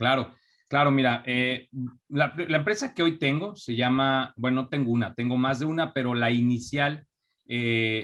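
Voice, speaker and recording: A fairly slow voice in a Mexico City accent with ordinary pitch variation. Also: man, medium pitch for a man. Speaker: entrepreneur. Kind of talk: interview. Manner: halting, many fillers.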